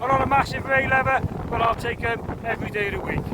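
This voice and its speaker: Someone shouts loudly at a very fast pace over noticeable background noise. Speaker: angler vlogger. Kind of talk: fishing vlog commentary. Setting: outdoors on the shore. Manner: loud, shouting over wind; animated.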